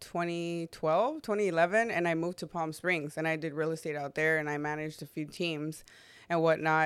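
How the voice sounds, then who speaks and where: A woman with an American accent speaks in a normal speaking voice, fairly low in pitch, with fairly even intonation at a moderate pace, on a very clean recording with a silent background. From US West Coast, Long Beach, California. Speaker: realtor. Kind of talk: casual chat. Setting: in-person studio in East LA.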